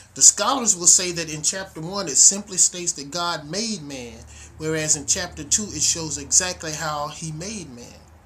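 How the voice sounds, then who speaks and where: Fairly slow pace and ordinary pitch variation. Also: man. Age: 60s. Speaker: minister. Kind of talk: video sermon introduction. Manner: casual, animated.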